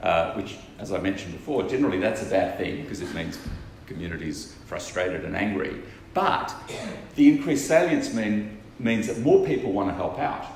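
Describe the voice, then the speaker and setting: A man with an Australian accent talks at a fairly quick pace, his loudness swinging widely. Noticeable background noise runs throughout. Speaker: non-profit co-founder and researcher. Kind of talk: conference keynote speech.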